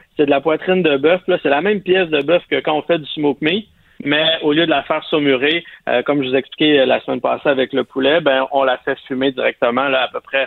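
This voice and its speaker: In a plain, everyday voice, a man with a fairly high pitch speaks at a fairly quick pace with fairly even intonation. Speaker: barbecue columnist. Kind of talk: casual chat.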